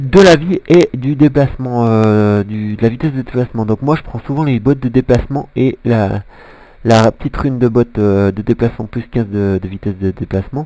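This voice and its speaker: Dark and mellow in tone, a man talks at medium pitch and a moderate pace with ordinary pitch variation. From Switzerland. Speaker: gaming commentator. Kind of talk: gameplay commentary. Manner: halting, many fillers.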